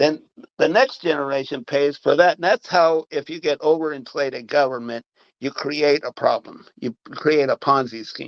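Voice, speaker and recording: A man with an American accent has an ordinary speaking voice, fairly high in pitch with ordinary pitch variation. He talks at a moderate pace in a dry, close recording with no echo. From Marion, Ohio. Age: 60s. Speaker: city council member. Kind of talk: political interview.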